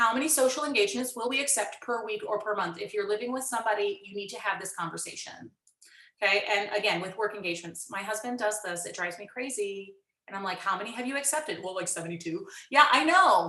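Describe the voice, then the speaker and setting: With lively intonation, the speaker talks very fast against audible room echo. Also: woman. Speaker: music educator presenting at a conference. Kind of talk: conference workshop presentation. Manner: animated.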